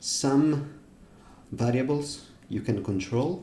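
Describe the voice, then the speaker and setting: A man's somewhat breathy, medium-pitched voice with audible room echo. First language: not English. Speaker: music software developer. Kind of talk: tutorial. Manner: halting, with fillers.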